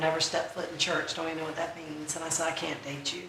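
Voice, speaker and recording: Amid noticeable background noise and audible room echo, a woman with an American accent and a fairly low pitch speaks in an animated tone at a very fast pace. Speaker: conference speaker. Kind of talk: testimony. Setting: stage with audience. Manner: loud.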